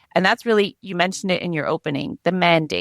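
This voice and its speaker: A woman's fairly low voice with vocal fry. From Canada. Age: 40s. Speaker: media advocacy representative. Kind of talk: podcast interview.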